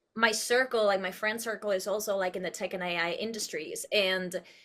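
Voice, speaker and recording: Recorded very cleanly against a silent background, a bright, sharp voice with a Spanish accent moves at a moderate pace. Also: woman. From Uruguay. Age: 30s. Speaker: actress and producer. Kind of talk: interview conversation. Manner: expressive.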